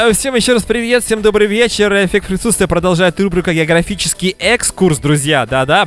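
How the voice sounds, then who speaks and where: Intonation full of life marks a man talking fairly fast. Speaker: radio host. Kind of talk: live radio talk show. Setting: radio studio.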